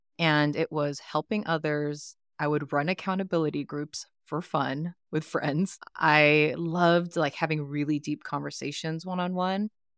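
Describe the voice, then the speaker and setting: On a very clean recording with a silent background and a dry, close sound with no echo, a woman with a Californian accent speaks at a moderate pace with fairly even intonation and a very deep, low pitch. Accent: Californian American. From US West Coast, East Bay (Oakland). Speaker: life coach. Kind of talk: interview conversation.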